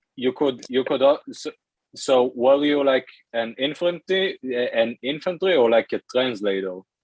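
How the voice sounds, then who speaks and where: Fairly slow speech in an Israeli accent, with ordinary pitch variation. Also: man, medium pitch for a man. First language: Hebrew. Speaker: language learner. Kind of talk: casual chat. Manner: halting.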